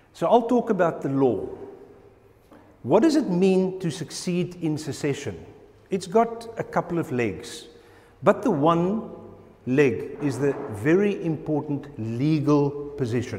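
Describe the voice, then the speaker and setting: With lively intonation, a man speaks with long, frequent pauses. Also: fairly slow pace. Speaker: presenter. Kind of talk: lecture. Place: hall.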